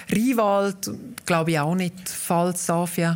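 A normal speaking voice with fairly even intonation proceeds at a moderate pace, captured in a very clean recording over a silent background. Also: woman. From Graubünden, Obersaxen (Walser). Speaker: dialect association president, author. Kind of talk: interview.

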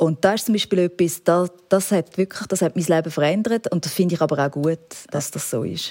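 At a fairly quick pace, a woman talks in a dark, mellow tone with ordinary pitch variation and a dry, close sound with no echo. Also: fairly low pitch for a woman. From rural Switzerland. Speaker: TV documentary presenter. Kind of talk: interview. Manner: animated.

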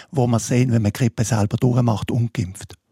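A somewhat breathy man's voice of medium pitch, dark and mellow, in a dry, close sound with no echo. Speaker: public health physician. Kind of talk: radio panel discussion.

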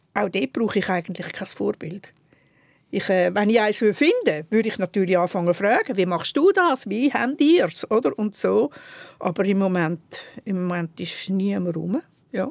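A woman speaks with a Swiss accent. The recording is very clean, with a silent background. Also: medium pitch for a woman, lively intonation, moderate pace. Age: 70s. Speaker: historian. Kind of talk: casual chat.

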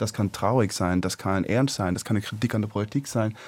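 A man's dark, mellow tone carries ordinary pitch variation on a very clean recording with a silent background. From China, Swiss expatriate family. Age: 20s. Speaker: climate activist. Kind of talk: radio talk show debate. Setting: studio. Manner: halting.

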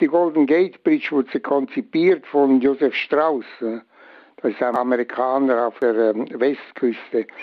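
A man's medium-pitched voice, with ordinary rise and fall, moves along at a very slow pace. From Switzerland. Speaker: bridge engineer. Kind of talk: interview.

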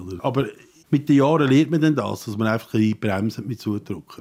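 A man's dark, mellow tone. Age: 60s. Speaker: carpenter. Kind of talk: interview.

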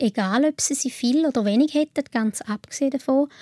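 On a very clean recording with a silent background and a dry, close sound with no echo, a woman with a Swiss accent speaks at a fairly quick pace in a high pitch with ordinary pitch variation. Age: 30s. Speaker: patient sharing illness experience. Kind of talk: interview.

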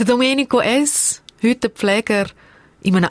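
With a Swiss accent, a woman speaks at a fairly slow pace, using a fairly high pitch and ordinary pitch variation, in a dry, close sound with no echo. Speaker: podcast host and producer. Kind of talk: conversational interview; scripted narration. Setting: radio studio.

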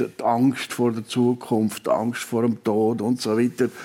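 A man's dark, mellow tone at a very slow pace. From Switzerland, Valais. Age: 70s. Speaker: retired immunology professor. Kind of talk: radio interview. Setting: live radio show before audience.

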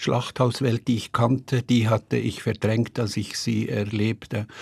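A man speaks at a fairly slow pace with a somewhat breathy voice and fairly even intonation, on a very clean recording with a silent background. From Switzerland, Bern. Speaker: writer. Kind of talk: interview.

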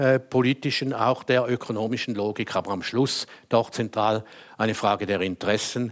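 This is an ordinary speaking voice at a moderate pace. The intonation stays fairly even. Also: man. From Switzerland, St. Gallen. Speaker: lawyer and former politician. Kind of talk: panel debate. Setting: stage with audience.

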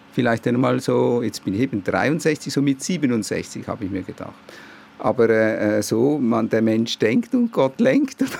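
A man speaks at a very slow pace. Noticeable background noise runs beneath his voice. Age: 60s. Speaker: patient, civil servant. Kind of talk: interview. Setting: outdoors on a balcony.

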